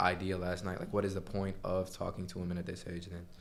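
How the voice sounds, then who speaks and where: Audible room echo surrounds a man speaking at a moderate pace with a very deep, low pitch. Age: 20s. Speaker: podcast host. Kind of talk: casual chat.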